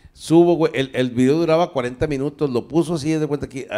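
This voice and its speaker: Against a quiet background, a dark, mellow tone carries the speech at a moderate pace. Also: man. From northern Mexico, Torreón; northern Mexico. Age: 60s. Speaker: comedian; comedian guest. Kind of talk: casual chat. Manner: animated. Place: studio. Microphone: handheld.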